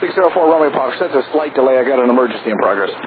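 A man at a very fast pace, medium pitch and lively intonation, with audible room echo.

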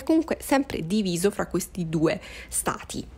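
Talking at a fairly quick pace, a woman has a plain, everyday voice. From Sicily, Catania. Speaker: book content creator. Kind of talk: podcast monologue about books. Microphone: worse audio, lacking equipment.

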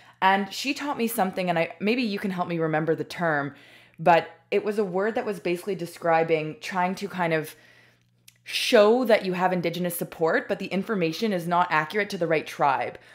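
A woman with a fairly low pitch and a normal speaking voice talks at a fairly quick pace, her pitch varying in an ordinary way. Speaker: podcast co-host. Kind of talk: casual chat.

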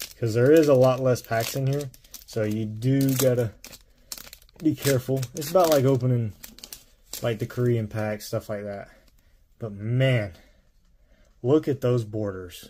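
With a dark, mellow tone and a somewhat breathy quality, the voice moves at a moderate pace with long, frequent pauses, ordinary pitch variation and light background noise. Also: man. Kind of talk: casual pack-opening commentary. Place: home room.

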